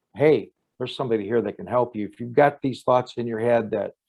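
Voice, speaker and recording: A man's unremarkable speaking voice with a medium pitch and fairly even intonation. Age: 60s. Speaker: criminologist and profiler. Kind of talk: interview conversation.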